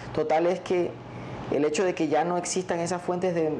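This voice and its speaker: Noticeable background noise behind a man speaking at a moderate speed. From La Guajira, Colombia. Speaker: relative of kidnapping victim. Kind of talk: interview answer. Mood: serious, thoughtful. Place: studio. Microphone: lapel.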